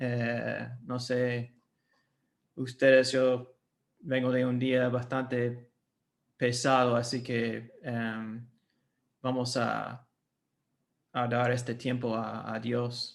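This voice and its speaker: An American-accented man of medium pitch talks at a very slow pace with long, frequent pauses. His intonation is monotone and flat. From United States. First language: English (speaking Spanish). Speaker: missionary and seminary academic director. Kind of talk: workshop lecture. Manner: halting, many fillers.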